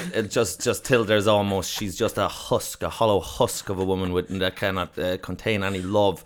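A man speaks at a moderate pace in a fairly low pitch, his intonation flat and monotone. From southern Ireland. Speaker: comedian. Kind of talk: casual chat.

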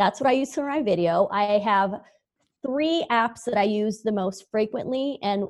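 A woman at medium pitch, moderate pace and ordinary pitch variation. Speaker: branding business owner. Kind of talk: casual interview. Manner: slang, slightly unarticulated speech.

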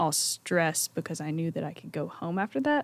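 A woman with a Southern US accent and fairly low pitch, on a very clean recording with a silent background. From Mississippi, Pontotoc. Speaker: college student. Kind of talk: casual chat.

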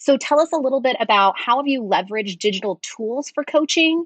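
A woman's voice with lively intonation sounds dry and close, with no echo. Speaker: instructional coach and podcast co-host. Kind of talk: casual podcast conversation. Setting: remote recording.

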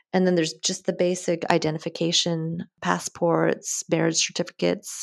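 In a very clean recording with a silent background, a woman speaks with an Upper Midwest accent and ordinary pitch variation. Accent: Upper Midwest American. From US Midwest, Wisconsin. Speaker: mortgage broker. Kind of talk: interview.

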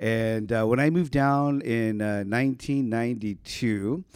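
A man's plain, everyday voice with an American accent, medium in pitch, with ordinary pitch variation, in a very clean recording over a silent background. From Ohio. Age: 50s. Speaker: pastor. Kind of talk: casual interview.

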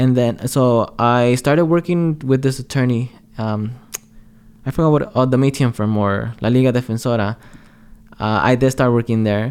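His pitch is medium and varies in an ordinary way. A man talks in a normal speaking voice at a moderate pace. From Los Angeles, South Central (moved from Mexico age 6). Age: 20s. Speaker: entrepreneur, podcast co-host. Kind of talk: casual chat.

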